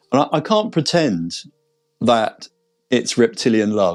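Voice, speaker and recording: Talking at a moderate speed, a man has a British accent. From Britain. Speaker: veterinarian. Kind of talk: interview testimony. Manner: hesitant with repetitions.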